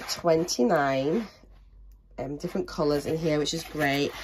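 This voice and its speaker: A woman's fairly low-pitched voice with a British accent. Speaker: crafting YouTuber. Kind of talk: product unboxing. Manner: casual, hesitant with ums.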